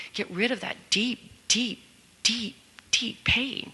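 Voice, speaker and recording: Noticeable background noise fills the recording. A woman is the one talking. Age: 60s. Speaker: workshop participant in recovery. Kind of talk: group sharing feedback. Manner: halting.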